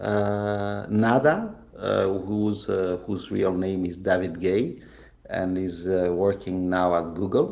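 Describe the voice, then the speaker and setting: A man with a non-native accent speaks at a very slow pace in a very deep, low pitch with fairly even intonation. Audible room echo surrounds his voice. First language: not English. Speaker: game creator. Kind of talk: interview. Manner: halting.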